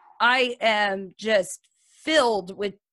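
Against a quiet background, a woman with an American accent talks in a bright, sharp tone with ordinary pitch variation. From Kansas. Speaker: radio host. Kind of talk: casual chat.

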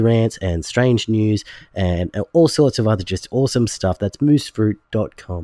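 With an Australian accent, a man talks in a fairly low, dark and mellow voice with ordinary pitch variation. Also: dry, close sound with no echo, quiet background. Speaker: gaming podcast co-host. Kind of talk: casual chat. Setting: remote call with co-host.

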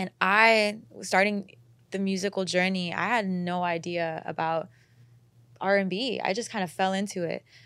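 In a very clean recording with a silent background, a woman with an ordinary speaking voice talks at medium pitch and a moderate pace with fairly even intonation. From Houston, Texas (born in India). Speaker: R&B singer. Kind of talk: casual interview. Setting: studio.

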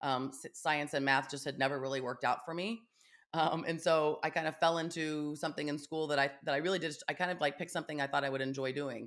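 Very fast speech in an American accent with fairly even intonation. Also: woman, very deep, low pitch for a woman. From Kansas, US Midwest. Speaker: sales consultant for startup founders. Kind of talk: casual interview. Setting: video call.

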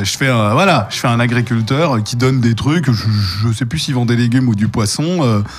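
The room gives an audible echo. Noticeable noise sits in the background. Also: man. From Paris, France. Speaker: voice actor and stage performer. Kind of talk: interview.

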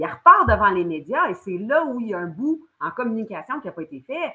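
A woman with a Quebec accent, a bright, sharp tone and very wide pitch swings. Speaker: former political candidate, economic development worker. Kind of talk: political discussion.

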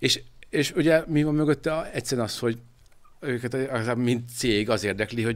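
Lively intonation marks this man's medium-pitched voice. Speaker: gaming magazine editor-in-chief. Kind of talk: casual chat. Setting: studio. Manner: halting.

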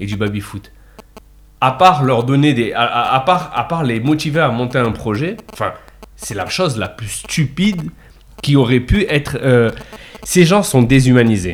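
This man speaks at a medium pitch with lively intonation and long, frequent pauses. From France, Montpellier. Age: 30s. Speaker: engineer and guest co-host. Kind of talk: casual discussion.

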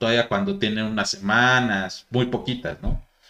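A man talks at a fairly quick pace in a medium pitch. His pitch swings very widely against a quiet background. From Mexico. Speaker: podcast host. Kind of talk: casual chat.

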